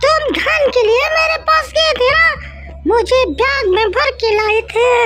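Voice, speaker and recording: Over clear music in the background, a female-sounding voice shouts in a cartoonish character voice. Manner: threatening.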